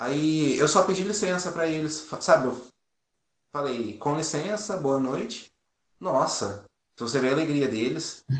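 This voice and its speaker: Lively in intonation, a man with a fairly high pitch speaks at a fairly slow pace with long, frequent pauses. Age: 20s. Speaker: firefighter and volunteer. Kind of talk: interview.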